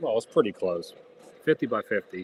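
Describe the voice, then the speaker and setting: A man talks at a fairly quick pace. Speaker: model train live streamer. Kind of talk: casual live stream chat. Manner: loud.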